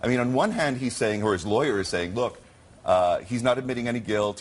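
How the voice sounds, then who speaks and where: Noticeable background noise runs under a man speaking at a very fast pace. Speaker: sports attorney. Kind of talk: TV news interview.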